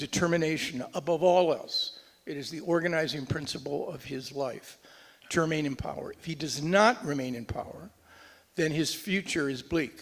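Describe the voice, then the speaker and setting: Noticeable background noise sits behind a man speaking at a moderate pace. His loudness swings a lot, while his pitch varies in an ordinary way. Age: 70s. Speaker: Middle East policy analyst, former US diplomat. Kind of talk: panel discussion. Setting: conference stage with audience.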